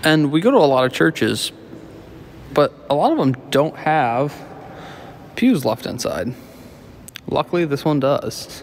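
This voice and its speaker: A man speaks at a fairly slow pace with ordinary pitch variation and long, frequent pauses over light background noise. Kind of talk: casual vlog narration. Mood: admiring, relaxed. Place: church. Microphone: phone near.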